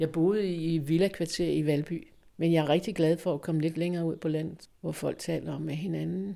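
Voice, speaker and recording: Fairly low-pitched woman's voice, dark and mellow in tone, monotone and flat, at a moderate pace on a very clean recording with a silent background. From western Jutland, Denmark (Holstebro area). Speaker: future resident. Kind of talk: interview.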